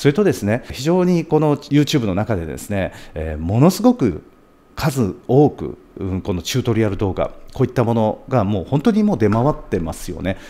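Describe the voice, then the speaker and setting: A man speaks at a medium pitch with vocal fry and a dark, mellow tone. His pitch swings very widely at a moderate pace. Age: 40s. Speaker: video producer and YouTuber; YouTuber. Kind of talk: monologue to camera; casual vlog chat. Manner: polite and formal; frequent filler hesitations. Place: studio. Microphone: studio mic.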